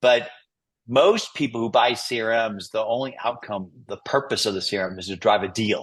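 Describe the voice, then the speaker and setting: A man talks in an unremarkable speaking voice. His pitch is medium with ordinary variation, and his pace is moderate. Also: quiet background. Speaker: CRM company representative hosting webinar. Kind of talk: webinar Q&A and software demo. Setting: online webinar with screen share.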